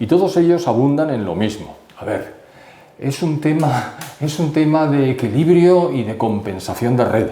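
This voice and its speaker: Amid noticeable background noise and audible room echo, a man speaks at a fairly high pitch and a fairly slow pace with lively intonation. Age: 70s. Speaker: economist. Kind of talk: interview.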